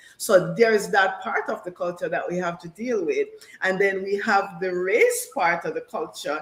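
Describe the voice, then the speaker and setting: Speaking at a moderate pace with a Jamaican accent, a woman swings widely in loudness over noticeable background noise. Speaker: panel guest. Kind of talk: panel discussion.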